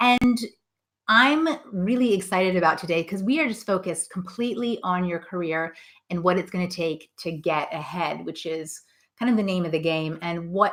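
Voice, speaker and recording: A woman with a non-native accent and a medium pitch speaks at a moderate pace in a bright, sharp, animated tone with lively intonation. The recording is very clean with a silent background. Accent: non-Scottish accent, from abroad. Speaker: career coach. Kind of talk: live stream Q&A. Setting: live video stream.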